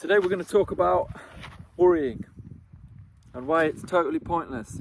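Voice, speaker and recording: Here a man speaks at a high pitch with lively intonation. His pace is moderate. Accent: British. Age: 30s. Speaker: vlogger and entrepreneur. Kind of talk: casual talk to camera.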